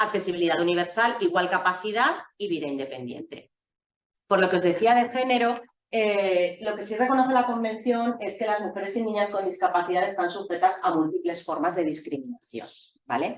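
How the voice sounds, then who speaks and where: This woman has a medium pitch and lively intonation. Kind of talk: lecture. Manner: fast.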